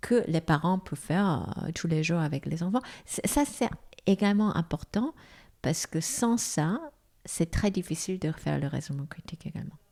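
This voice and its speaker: On a very clean recording with a silent background, a woman with a dark, mellow, somewhat breathy tone and fairly low pitch talks at a moderate pace with lively intonation. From South Korea. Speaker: foundation president, former executive. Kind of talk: interview. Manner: halting.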